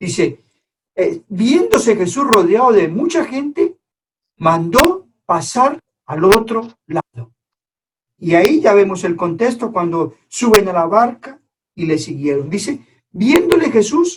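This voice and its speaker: With very wide pitch swings, a high-pitched man speaks at a very slow pace. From Colombia. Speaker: preacher. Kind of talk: sermon. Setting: online church service.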